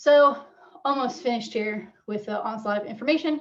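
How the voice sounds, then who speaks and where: A woman's voice with ordinary pitch variation. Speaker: wetland scientist presenter. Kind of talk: webinar presentation. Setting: video call webinar. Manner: fast; hesitant, many fillers.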